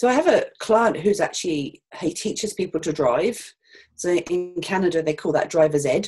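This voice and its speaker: Music plays behind a woman with a British accent. Her pitch is fairly low and her intonation lively. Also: moderate pace. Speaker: financial adviser. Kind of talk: interview. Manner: hesitant, many fillers.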